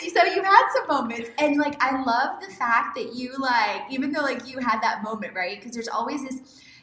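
A woman with an American accent talks at a moderate pace in a high, bright, sharp voice, raised and projected, with lively intonation, big swings in loudness and hardly any pauses. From Houston, Texas. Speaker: podcast host, lifestyle coach. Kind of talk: interview podcast.

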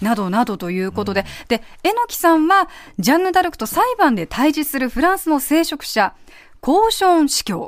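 A woman speaks at a moderate pace in a high voice, her pitch swinging very widely. The recording is very clean, with a silent background. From Kumamoto, Japan. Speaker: radio announcer, assistant host. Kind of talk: scripted narration of guest profile.

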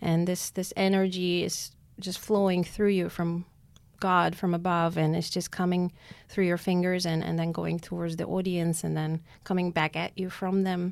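A woman with an Armenian accent, fairly low in pitch, monotone and flat at a moderate pace, on a very clean recording with a silent background. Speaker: concert pianist. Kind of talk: interview.

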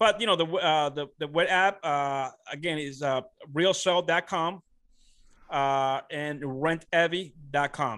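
At a very slow pace, a man speaks with a bright, sharp tone at a fairly high pitch and ordinary pitch variation against a quiet background. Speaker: real estate investor. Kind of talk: interview. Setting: podcast interview. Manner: halting with many fillers.

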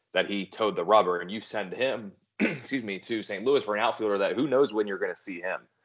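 Over a quiet background, a man speaks in an ordinary speaking voice at medium pitch with ordinary pitch variation. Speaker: fantasy baseball podcast host. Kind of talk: casual chat.

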